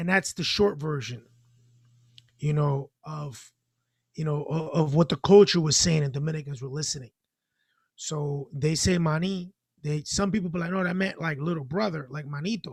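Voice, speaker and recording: A moderate pace with long, frequent pauses and ordinary pitch variation. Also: man, fairly high pitch for a man. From Dominican Republic heritage, raised in US. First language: Spanish. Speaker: financial literacy organization member. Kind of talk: casual chat. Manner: halting.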